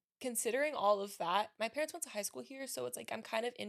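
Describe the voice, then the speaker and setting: A woman talks at a very fast pace. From Miami, Florida. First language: Spanish. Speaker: lawyer and business owner. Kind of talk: podcast interview. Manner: fast, chatty.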